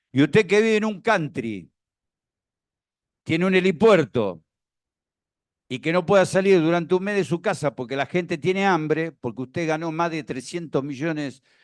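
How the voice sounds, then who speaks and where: This man has an Argentine accent and a fairly high pitch, with lively intonation at a moderate pace. The recording is very clean, with a silent background. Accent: Rioplatense Argentine Spanish. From Argentina, La Plata. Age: 60s. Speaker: former tax official speaking at a seminar. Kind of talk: seminar talk with anecdotes.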